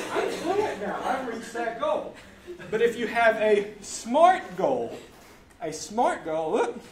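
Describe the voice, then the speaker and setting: Amid noticeable background noise and audible room echo, a man speaks in an extremely high pitch. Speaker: language learning presenter. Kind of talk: live presentation to audience. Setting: stage with audience. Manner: fast; animated.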